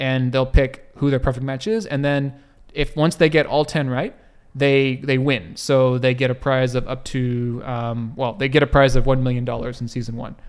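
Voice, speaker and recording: A man with a plain, everyday voice, medium-pitched, moving at a moderate pace, pitch varying in an ordinary way. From US. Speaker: podcast co-host. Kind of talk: casual chat.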